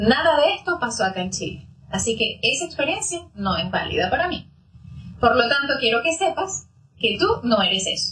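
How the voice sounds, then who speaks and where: A woman's high voice swings very widely in pitch as she talks at moderate speed. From Venezuela. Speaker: psychologist. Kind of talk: interview.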